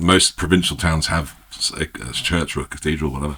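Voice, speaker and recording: Very deep and low in pitch, a man speaks at a fairly quick pace. The intonation is fairly even. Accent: English. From England. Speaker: winemaker. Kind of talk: casual chat. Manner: halting.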